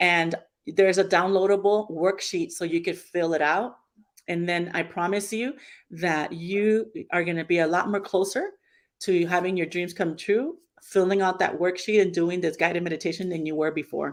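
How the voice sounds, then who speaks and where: An ordinary speaking voice with an American accent at a moderate pace, in a very clean recording with a silent background. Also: woman, fairly low pitch for a woman, fairly even intonation. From US West, Los Angeles. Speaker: author and speaker. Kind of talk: interview.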